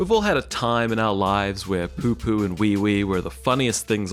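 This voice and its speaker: A man talks at a moderate pace in a fairly low pitch, with music playing in the background. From New Zealand. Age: 20s. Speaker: YouTuber, video essayist. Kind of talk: comedic video essay narration.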